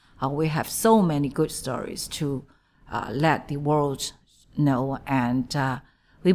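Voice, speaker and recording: A woman with a Chinese accent speaks at a very slow pace in a very deep, low pitch. The recording is very clean, with a silent background. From China. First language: Mandarin Chinese. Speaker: diplomat. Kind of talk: interview. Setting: embassy office. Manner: halting.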